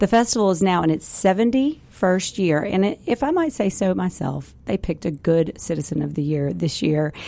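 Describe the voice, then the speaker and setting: Noticeable background noise accompanies a woman with a medium pitch. She talks at a fairly quick pace with lively intonation and hardly any pauses. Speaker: university public affairs director and podcast host. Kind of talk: interview. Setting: studio.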